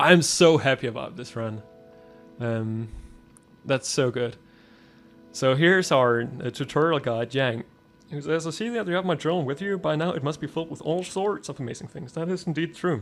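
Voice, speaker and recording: With music in the background, the speaker moves at a moderate pace in lively intonation, leaving long, frequent pauses. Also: man, fairly high pitch for a man. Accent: strong Danish. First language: Danish. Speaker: gaming youtuber. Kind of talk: let's play commentary. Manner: animated; halting, many fillers.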